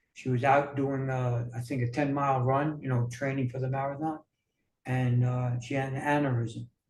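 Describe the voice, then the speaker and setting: A man with an American accent speaks in a somewhat breathy voice with monotone, flat intonation. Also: medium pitch for a man, moderate pace. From New York. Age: 60s. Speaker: wellness coach. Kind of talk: interview. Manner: halting, many fillers.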